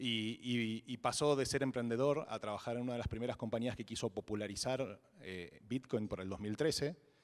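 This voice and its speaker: With an Argentine accent, a man talks at a moderate pace and medium pitch, with ordinary pitch variation and hardly any pauses. The recording is very clean, with a silent background. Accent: Argentine Spanish (Rioplatense). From Argentina. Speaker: blockchain entrepreneur, conference speaker. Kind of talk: fireside chat on stage. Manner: hesitant, many repetitions and fillers.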